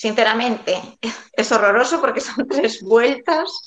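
A woman speaks with a Galician accent. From Galicia, A Coruña. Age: 40s. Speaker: amateur runner. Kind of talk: interview.

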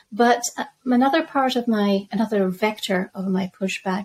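A woman talks at a moderate pace in a somewhat breathy, medium-pitched voice with ordinary pitch variation. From Zambia. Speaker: crypto and macro researcher. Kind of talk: podcast interview.

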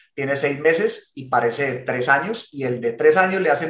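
Speaking at a moderate pace, this man has a fairly high pitch and a somewhat breathy sound. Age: 40s. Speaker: podcast co-host. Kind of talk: casual chat.

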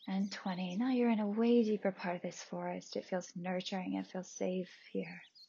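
Fairly even intonation in a somewhat breathy voice. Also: woman, medium pitch for a woman. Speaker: meditation podcaster and guide. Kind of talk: guided meditation visualization. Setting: home recording, possible background noise. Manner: slow, soothing, calm, paced counting; gentle, soft-spoken.

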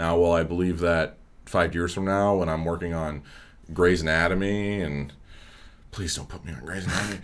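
Speaking at a fairly quick pace, a man with a very deep, low voice leaves long, frequent pauses, his loudness swinging widely amid audible room echo. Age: 20s. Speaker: graduate student in dramatic writing. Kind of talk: casual chat.

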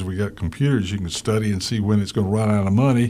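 This man's voice sits fairly low in pitch, with fairly even intonation. Noticeable background noise runs under the recording. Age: 50s. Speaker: radio talk show host. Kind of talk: radio interview. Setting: radio studio.

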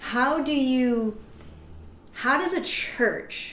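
Noticeable noise sits behind the recording. A woman speaks with lively intonation. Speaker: evangelist podcast host. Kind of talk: casual chat.

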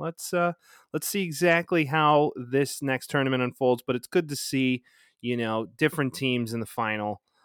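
An ordinary speaking voice with lively intonation, dry and close with no echo, on a very clean recording with a silent background. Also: man. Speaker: sports podcast host. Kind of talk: casual banter sports talk. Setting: recording in the evening. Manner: joking, profane, banter.

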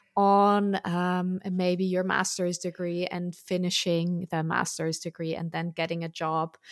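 In a very clean recording with a silent background, a woman with a German accent talks at a fairly slow pace and a medium pitch. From Germany. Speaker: podcast host and career coach. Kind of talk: interview, hosting a podcast.

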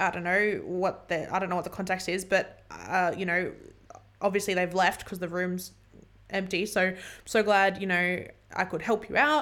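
A woman with an Australian accent speaks at a moderate pace with fairly even intonation. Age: 20s. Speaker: podcast host. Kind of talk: casual chat. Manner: halting.

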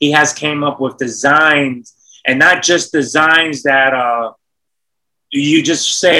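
With a New York accent, a man uses a bright, sharp tone, a fairly high pitch and fairly even intonation. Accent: New York City. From Bronx, New York. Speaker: entrepreneur. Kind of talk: casual chat.

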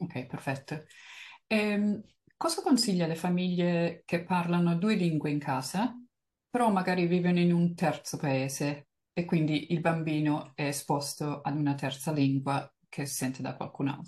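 A woman talks at a fairly slow pace in a fairly low pitch. Her tone is dark and mellow, somewhat breathy, with ordinary pitch variation. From Italy. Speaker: podcast host. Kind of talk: interview.

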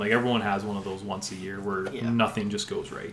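There is audible room echo as a man speaks with a Canadian accent. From Alberta, Canada (Sherwood Park). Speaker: sports podcast co-host. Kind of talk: casual chat.

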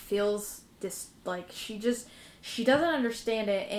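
Reading aloud in a natural voice comes with ordinary pitch variation.

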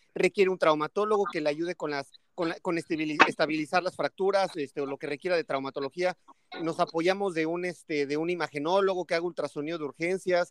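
Fairly even intonation at a fairly quick pace, in a dry, close sound with no echo. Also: man, high pitch for a man. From State of Mexico. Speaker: emergency physician. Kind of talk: casual chat.

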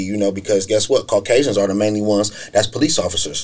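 At a fairly quick pace, a man with an American accent talks at a medium pitch in an unremarkable speaking voice. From Akron, Ohio (east side). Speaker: youth mentoring program coordinator. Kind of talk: casual group conversation. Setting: podcast studio.

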